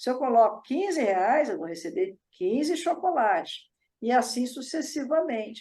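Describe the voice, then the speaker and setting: With very wide pitch swings, a woman's high voice moves at a fairly slow pace. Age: 60s. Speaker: psychology teacher and author. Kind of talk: lecture.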